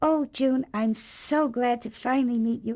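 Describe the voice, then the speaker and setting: A put-on character voice carries a gentle tone and fairly even intonation. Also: woman, high pitch for a woman, moderate pace. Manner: gentle, friendly.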